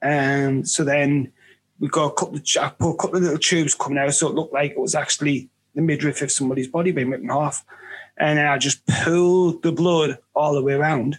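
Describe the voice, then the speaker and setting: This man speaks at a very fast pace. His fairly high pitch follows fairly even intonation. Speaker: independent filmmaker.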